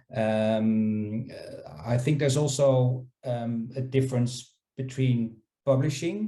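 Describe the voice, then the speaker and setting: A man's dark, mellow tone, somewhat breathy, with fairly even intonation. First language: not English. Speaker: scholarly publishing panelist. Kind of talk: panel discussion. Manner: halting, many fillers and repetitions.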